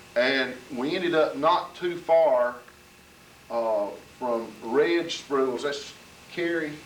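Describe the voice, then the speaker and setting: A man with a Southern US accent and a fairly high pitch speaks at a very slow pace with ordinary pitch variation and long, frequent pauses. Audible room echo and noticeable background noise fill the recording. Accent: Southern US (Georgia). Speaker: local resident recalling history. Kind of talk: storytelling at community gathering.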